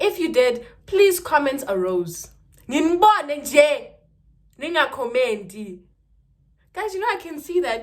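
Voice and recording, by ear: A woman talks at a moderate pace, her voice making big pitch swings.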